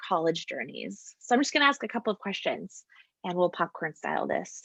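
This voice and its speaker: A woman uses an ordinary speaking voice with an American accent, a medium pitch and lively intonation. She talks at a fairly quick pace against a quiet background. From US West Coast. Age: 30s. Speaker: campus ministry staff. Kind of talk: interview; scripted presentation.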